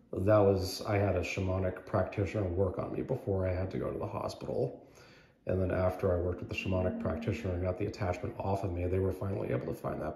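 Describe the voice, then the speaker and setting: Very fast and very deep, a man talks with ordinary pitch variation, with light background noise and audible room echo. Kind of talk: casual personal story. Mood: earnest, recounting an illness. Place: hall. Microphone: phone near.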